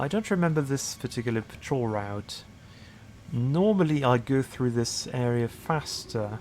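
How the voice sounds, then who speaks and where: A man with a medium pitch uses lively intonation. His pace is fairly slow. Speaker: gaming video creator. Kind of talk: let's play commentary. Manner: hesitant, many fillers; lowered voice.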